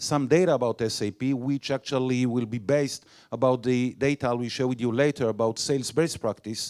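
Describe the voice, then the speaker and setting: A man with an Israeli accent, medium pitch and fairly even intonation, at a fairly quick pace with hardly any pauses, in a dry, close sound with no echo. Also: very clean recording, silent background. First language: Hebrew. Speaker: sales director. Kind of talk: conference talk. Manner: halting.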